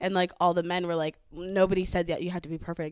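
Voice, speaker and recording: This woman speaks at a fairly quick pace with a Southern Californian accent. Her pitch is medium. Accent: Valley girl. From California, San Fernando Valley. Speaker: podcast host. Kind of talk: casual chat.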